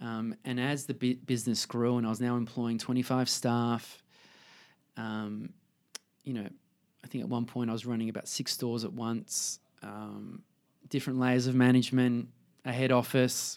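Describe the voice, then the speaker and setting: Someone with an Australian accent speaks at a moderate pace with fairly even intonation. Long, frequent pauses break up the speech. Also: man, medium pitch for a man. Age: 30s. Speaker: fashion designer. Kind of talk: casual interview. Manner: halting.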